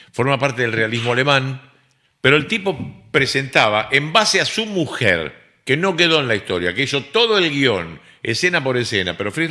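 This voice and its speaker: A man in a Rioplatense accent speaks at a moderate pace with an animated, bright, sharp tone, very wide pitch swings and vocal fry, on a very clean recording with a silent background. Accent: Argentine Rioplatense Spanish. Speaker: radio host. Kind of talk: casual chat.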